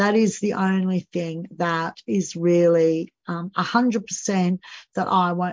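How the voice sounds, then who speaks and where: At a very slow pace, a woman with an Australian accent speaks with fairly even intonation. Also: medium pitch for a woman. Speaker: podcast host and financial coach. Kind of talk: solo podcast monologue. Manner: frequent fillers, um and you know.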